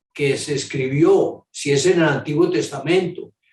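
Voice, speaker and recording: Fairly high pitch and a somewhat breathy quality from a man. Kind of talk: catechesis talk. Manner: halting.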